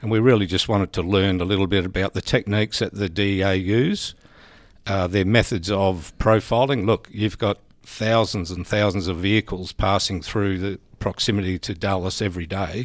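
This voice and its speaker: On a very clean recording with a silent background, a man with an Australian accent and a fairly low pitch speaks at a moderate pace with fairly even intonation. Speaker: senior police officer. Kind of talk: interview.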